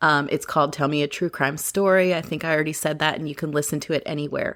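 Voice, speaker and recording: Very deep and low for a woman, her voice carries vocal fry. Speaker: podcast host. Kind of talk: podcast narration. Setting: home recording at night. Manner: casual, hesitant with fillers.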